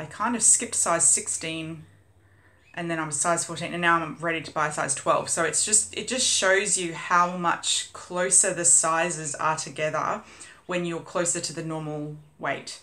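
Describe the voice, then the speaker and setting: The speaker has an Australian accent and a moderate pace. Pitch varies in an ordinary way, and audible room echo comes through. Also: woman, fairly low pitch for a woman. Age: 30s. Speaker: vlogger. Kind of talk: casual vlog update. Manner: chatty, many fillers.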